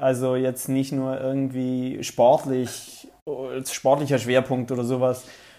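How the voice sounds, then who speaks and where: A man speaks at a very slow pace with hardly any pauses. His intonation is flat and monotone, and there is noticeable background noise. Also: medium pitch for a man. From South Tyrol, Italy. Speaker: TV presenter. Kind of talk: interview. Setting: video call.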